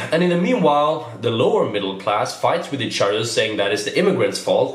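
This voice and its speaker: This man talks at a fairly quick pace with a Swedish accent. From Sweden. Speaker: comedian. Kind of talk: political commentary to camera.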